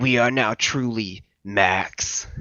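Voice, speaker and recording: A man puts on a booming character voice. His pitch sits in the medium range. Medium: read story. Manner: grandiose.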